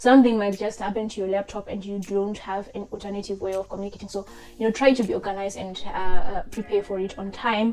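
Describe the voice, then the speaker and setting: A woman speaks at a medium pitch with a non-native accent over noticeable background noise. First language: not English. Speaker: chartered accountant giving career advice. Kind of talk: tutorial. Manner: casual, hesitant with many fillers.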